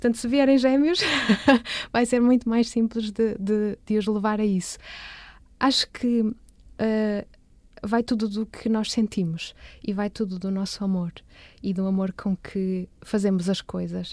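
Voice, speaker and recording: A woman with a fairly high pitch and a dark, mellow tone speaks at a fairly slow pace with fairly even intonation. She takes long, frequent pauses, and the recording is very clean with a silent background. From Porto, northern Portugal. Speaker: visual artist. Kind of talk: interview. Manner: halting, many repetitions.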